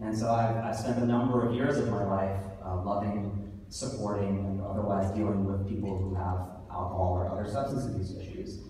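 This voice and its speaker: Through light background noise and strong room echo, a man with an American accent talks at a moderate pace, his fairly low pitch held in fairly even intonation. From US, New York City. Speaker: author and awards host. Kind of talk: awards ceremony speech. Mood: heartfelt, personal. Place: hall. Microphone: camera far.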